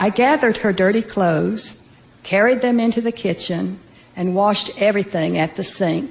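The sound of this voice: Someone reads aloud in an unforced voice.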